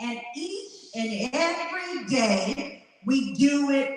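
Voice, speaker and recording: A woman speaks loudly and high-pitched with a Southern US accent and lively intonation. Room echo is audible. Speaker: motivational speaker. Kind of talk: motivational speech. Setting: stage with audience. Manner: animated.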